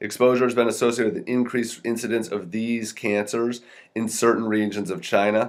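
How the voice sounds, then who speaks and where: A man's medium-pitched voice at a fairly quick clip, with fairly even intonation. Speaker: health podcaster reviewing studies. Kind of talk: research review talk. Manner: fast; casual with fillers.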